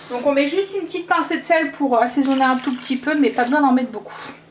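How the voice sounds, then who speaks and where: Through noticeable background noise, a woman's high-pitched voice carries lively intonation. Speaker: family vlogger, mother. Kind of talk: cooking vlog tutorial.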